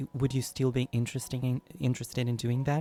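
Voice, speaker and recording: This man's medium-pitched voice has a dark, mellow tone and a monotone, flat intonation, recorded with a dry, close sound and no echo. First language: not English. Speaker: YouTube singer answering fan questions. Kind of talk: casual Q&A monologue. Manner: halting, with frequent fillers.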